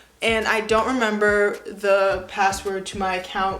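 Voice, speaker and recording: Audible room echo surrounds the voice of a woman. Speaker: YouTuber. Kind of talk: casual vlog, reading old writing aloud. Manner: casual, self-mocking.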